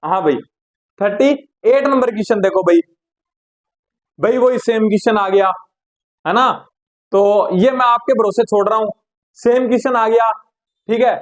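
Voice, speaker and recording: Long, frequent pauses break up this man's speech. His voice is high, with ordinary pitch variation. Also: moderate pace. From Rajasthan, India (near Haryana-Punjab border). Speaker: physics teacher. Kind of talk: tutorial. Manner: casual, conversational.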